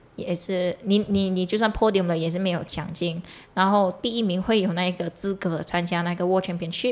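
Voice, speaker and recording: A woman with a Malaysian accent at medium pitch, a moderate pace and fairly even intonation. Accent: Malaysian Chinese. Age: 20s. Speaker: triathlete. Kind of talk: casual chat.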